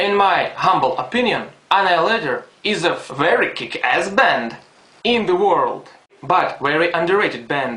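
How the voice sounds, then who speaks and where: There is audible room echo and noticeable background noise. A man talks in a high pitch. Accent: non-native. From Ukraine. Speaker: fan. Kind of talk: fan message.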